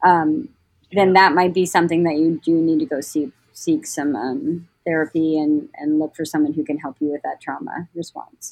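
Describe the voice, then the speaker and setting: An unremarkable speaking voice with an American accent moves at a moderate pace with ordinary pitch variation, in a dry, close sound with no echo. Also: woman, fairly low pitch for a woman. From Portland, Oregon, US. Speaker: school mental health therapist. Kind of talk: casual interview.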